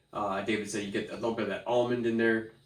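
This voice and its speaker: Noticeable background noise and audible room echo behind a man's fairly quick speech. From Canada. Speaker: beer reviewer. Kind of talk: casual chat.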